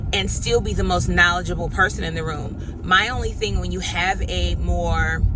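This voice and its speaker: A woman talks at a moderate speed amid audible room echo and noticeable background noise. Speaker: public speaking instructor. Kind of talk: vlog-style lecture. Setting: in a car. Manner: loud.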